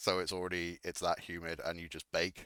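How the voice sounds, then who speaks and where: With an English accent, a man speaks at a moderate pace in a very deep, low pitch with a bright, sharp tone, the sound dry and close with no echo. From England. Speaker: radio show host in a game server. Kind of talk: casual chat. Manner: halting, many fillers.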